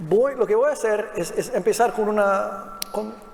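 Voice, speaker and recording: With lively intonation and a high pitch, a man speaks at a moderate pace over noticeable background noise. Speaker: panel moderator, policy researcher. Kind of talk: panel moderation. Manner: halting, many fillers.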